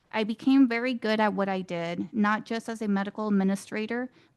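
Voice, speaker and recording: A woman's fairly high voice, an unremarkable speaking voice at a fairly quick pace with fairly even intonation, in a dry, close sound with no echo against a quiet background. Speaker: student veteran. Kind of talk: prepared speech. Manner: formal.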